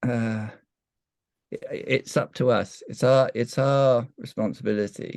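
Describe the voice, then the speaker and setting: A man with a British accent speaks at a very slow pace. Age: 70s. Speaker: evolutionary counsellor, breathwork facilitator. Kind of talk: interview answer. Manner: hesitant, reflective.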